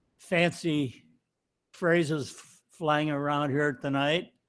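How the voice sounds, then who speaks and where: Speaking very slowly, a man with an American accent uses a fairly high pitch and fairly even intonation. The recording is very clean and the background silent. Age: 90s. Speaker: honored community elder. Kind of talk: acceptance speech. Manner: halting.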